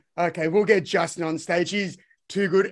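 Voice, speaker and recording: A man speaks with an Australian accent at a fairly quick pace. His pitch is high. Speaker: podcast host and educator. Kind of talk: interview.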